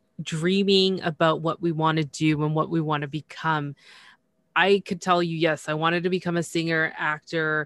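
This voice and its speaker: An ordinary speaking voice, heard dry and close with no echo against a quiet background. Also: woman. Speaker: podcast host. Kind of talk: casual interview chat. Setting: remote call.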